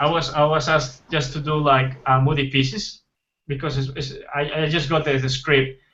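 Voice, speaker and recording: A man with a Spanish accent speaks at a moderate pace. His fairly high voice is monotone and flat. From Colombia. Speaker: concept artist. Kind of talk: casual interview. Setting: livestream. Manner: halting.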